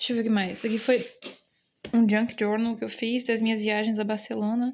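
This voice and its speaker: A fairly high-pitched woman's voice with a dark, mellow tone. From Brazil. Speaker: artist vlogger. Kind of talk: casual vlog, showing a sketchbook. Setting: at her boyfriend's home.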